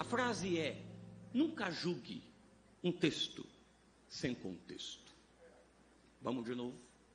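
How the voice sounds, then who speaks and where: Over noticeable background noise and audible room echo, a man speaks at a very slow pace with long, frequent pauses. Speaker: pastor and preacher. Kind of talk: sermon. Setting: church vigil with congregation.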